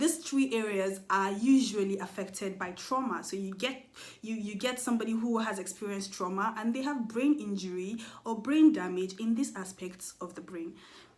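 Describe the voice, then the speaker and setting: Loudness swings widely as a woman speaks in a fairly high pitch, with audible room echo and noticeable background noise. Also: ordinary pitch variation. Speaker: mental health vlogger. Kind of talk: educational monologue. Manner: fast.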